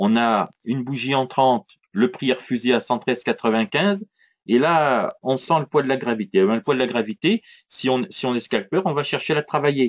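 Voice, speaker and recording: Here a man talks at a medium pitch. His intonation is lively. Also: moderate pace. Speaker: trading educator. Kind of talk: live trading tutorial. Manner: hesitant with repetitions.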